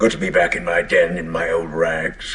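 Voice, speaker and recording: A raspy man does a put-on character voice at a moderate pace. Light background noise sits behind him. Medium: stage play. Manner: ruminative, dry and self-mocking.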